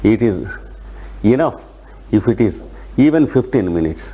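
Noticeable background noise sits behind a man speaking at a medium pitch. His tone is calm and his intonation lively. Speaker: yoga teacher. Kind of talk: guided meditation and lecture. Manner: slow, calm, instructive.

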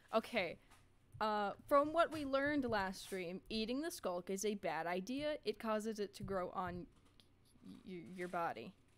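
A woman's medium-pitched voice at a fairly slow pace, full of very wide pitch swings. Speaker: gaming streamer. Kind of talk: casual livestream chat while gaming. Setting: home microphone at sister's apartment.

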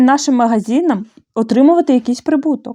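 Someone with a Bulgarian accent speaks at a moderate pace in a dark, mellow tone with lively intonation. The background is quiet. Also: woman. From Moldova. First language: Bulgarian (speaking Ukrainian). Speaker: handicraft blogger. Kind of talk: opinion monologue; tutorial.

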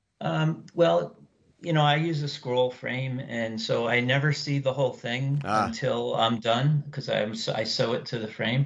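Speaking at a fairly slow pace, a man with a medium pitch and a somewhat breathy voice uses lively intonation. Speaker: needlepoint business partner and stitcher. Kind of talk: casual interview chat.

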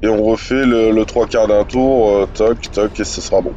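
A man's medium-pitched voice moves at a very slow pace, its intonation fairly even. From northern France. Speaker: gaming youtuber. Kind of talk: let's play commentary. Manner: casual, hesitant.

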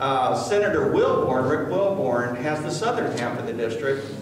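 A man is speaking over light background noise. Audible room echo surrounds his voice. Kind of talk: public speech to a community meeting. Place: meeting room. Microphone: camera far.

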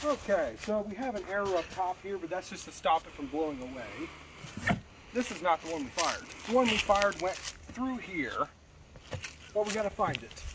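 Noticeable background noise fills the recording. Over it, a man talks at a moderate pace. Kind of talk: casual vlog chat. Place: garden.

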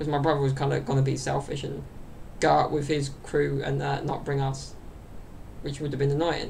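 With a southern English accent, a man speaks at a very fast pace in a fairly high, somewhat breathy voice over light background noise. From southern England, London area. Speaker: YouTuber and podcaster. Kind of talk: casual solo chat to camera. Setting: home recording to camera. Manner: rambling, with many fillers and laughs. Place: home room. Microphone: webcam.

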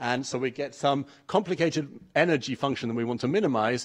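Against a quiet background, a man talks at a very fast pace in an English accent, fairly high in pitch with ordinary pitch variation. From England. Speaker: mathematics researcher. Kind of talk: conference talk. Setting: stage with audience. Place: hall.

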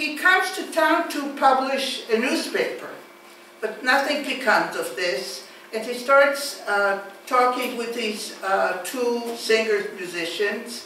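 A high-pitched woman at a very slow pace, with audible room echo and light background noise. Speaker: lecturer. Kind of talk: lecture. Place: classroom. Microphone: camera far.

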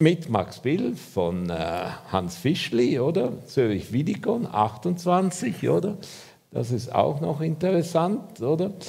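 Over a quiet background, a man speaks very slowly in a dark, mellow tone with vocal fry and very wide pitch swings. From Switzerland. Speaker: architect; lecturer. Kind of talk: lecture. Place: hall.

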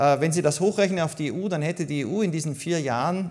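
A man speaks with a Viennese accent at a high pitch and with lively intonation. The background is quiet. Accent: Viennese Austrian German. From Austria, Vienna. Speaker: migration policy expert, author; keynote speaker. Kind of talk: keynote speech. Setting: congress stage with audience. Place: hall. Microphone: podium.

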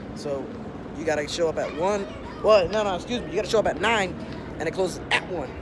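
At a fairly quick pace, a man speaks in a dry recording with no echo, though noticeable background noise comes through. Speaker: vlogger. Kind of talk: casual vlog chat. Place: street. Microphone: phone near.

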